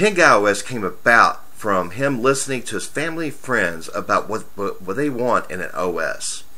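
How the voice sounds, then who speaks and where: A man's bright, sharp voice with vocal fry and very wide pitch swings, heard with audible room echo. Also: medium pitch for a man, moderate pace, hardly any pauses. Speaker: tech reviewer. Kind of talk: software review tutorial. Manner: casual.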